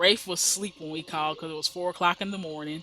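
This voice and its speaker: Speech in an American accent, with noticeable background noise around it. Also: woman. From US Midwest. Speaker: gaming YouTuber. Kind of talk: let's play commentary. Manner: chatty, halting with repeats.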